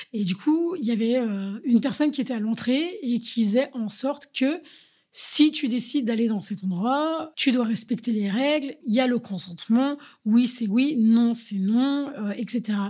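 A woman's high-pitched voice carries a dark, mellow tone. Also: ordinary pitch variation, fairly slow pace. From Paris, France. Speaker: DJ and kickboxing teacher. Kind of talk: interview testimony.

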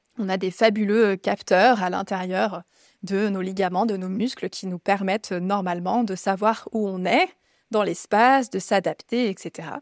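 A woman with an ordinary speaking voice at medium pitch talks at a fairly slow pace with fairly even intonation, in a dry, close sound with no echo on a very clean recording with a silent background. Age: 30s. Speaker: yoga teacher and physiotherapist. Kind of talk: casual interview chat.

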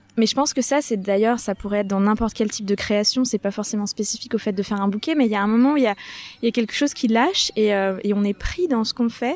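A woman at a very fast pace with hardly any pauses, over noticeable background noise. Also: fairly high pitch for a woman, ordinary pitch variation. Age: 30s. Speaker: florist. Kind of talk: casual chat. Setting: outdoors. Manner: animated.

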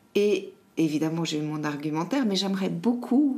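A woman speaks at a fairly slow pace with audible echo in the room. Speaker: podcast host. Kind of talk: interview conversation.

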